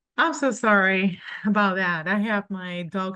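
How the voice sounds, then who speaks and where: A woman speaks with a Spanish accent in a bright, sharp tone and fairly even intonation. The background is quiet. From Colombia. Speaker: cleaning company owner. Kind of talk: business presentation. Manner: halting.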